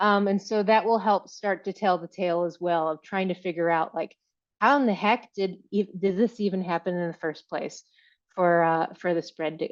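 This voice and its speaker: In a plain, everyday voice, a woman with an American accent speaks at a moderate pace, medium in pitch with fairly even intonation, over a quiet background. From Virginia. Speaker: tree crop breeder. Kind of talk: conference talk.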